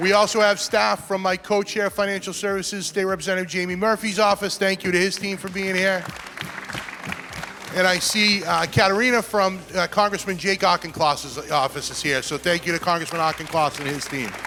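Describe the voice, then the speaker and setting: A raised, projected voice with a Boston accent, fairly quick and fairly even in intonation, over crowd noise in the background. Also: man, high pitch for a man. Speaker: state senator hosting event. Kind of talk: event hosting speech.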